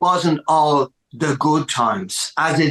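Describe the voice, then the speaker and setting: This is a man's voice. He speaks with a Dublin accent. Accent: Dublin Irish. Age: 60s. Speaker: rock musician. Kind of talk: podcast interview. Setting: music room at home.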